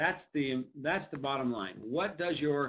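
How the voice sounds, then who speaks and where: A man's fairly high voice with lively intonation, at a fairly slow pace. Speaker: webinar presenter. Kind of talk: lecture. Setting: webinar. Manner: loud.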